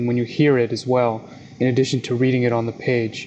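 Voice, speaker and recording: A man with an American accent talks very fast at a medium pitch in a monotone, flat delivery, with noticeable background noise. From South Jersey, US. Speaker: publisher and magazine editor. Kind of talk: interview conversation.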